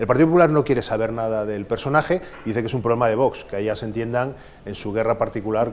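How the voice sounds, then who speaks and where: His words come out very fast. The man's pitch moves up and down in an ordinary way. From Spain. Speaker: political interviewer. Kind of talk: interview. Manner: formal. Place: office. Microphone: lapel.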